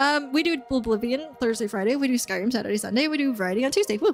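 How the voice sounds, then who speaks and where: A woman talks at a very fast clip in a high voice. Her pitch varies in an ordinary way, and background noise is noticeable. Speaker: video game streamer. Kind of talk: live stream chat.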